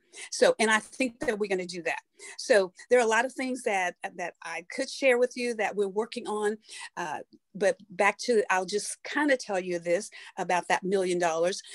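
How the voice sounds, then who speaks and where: A woman's medium-pitched voice at a moderate pace, dry and close with no echo. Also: ordinary pitch variation. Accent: East Texas. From Texas, Tyler. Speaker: city councilwoman. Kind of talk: casual interview chat. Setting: video call. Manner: halting, many fillers and restarts.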